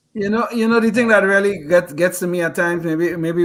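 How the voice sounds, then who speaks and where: Here a man with a non-native accent talks at a very fast pace and high pitch. The recording is very clean, with a silent background. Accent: foreign. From foreign-born immigrant. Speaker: podcast co-host. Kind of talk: interview discussion.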